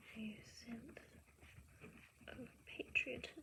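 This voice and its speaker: Whispering, a woman speaks at a very slow pace. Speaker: teacher. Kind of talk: casual talk to camera, reading and note-taking. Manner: soft-spoken, ASMR.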